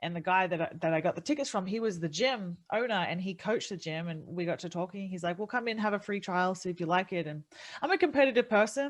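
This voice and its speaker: In an Australian accent, a woman at a medium pitch talks at a very fast pace with lively intonation and hardly any pauses against a quiet background. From Australia, city. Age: 30s. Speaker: MMA fighter and streamer. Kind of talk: casual podcast interview. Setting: podcast.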